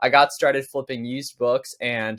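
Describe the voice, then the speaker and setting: A man speaks in an American accent. His pitch is fairly high. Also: quiet background. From Pennsylvania. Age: 20s. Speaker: online seller and business coach; online seller, business coach. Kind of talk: tutorial. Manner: casual, conversational. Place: home room.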